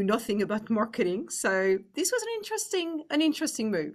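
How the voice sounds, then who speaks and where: A woman with a French accent speaks fairly quickly against a quiet background. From France. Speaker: business executive. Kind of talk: interview.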